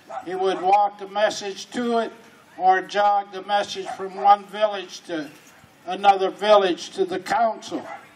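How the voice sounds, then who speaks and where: Over noticeable background noise, a high-pitched man speaks at a fairly slow pace with fairly even intonation but big swings in loudness. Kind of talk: talk at a pow wow.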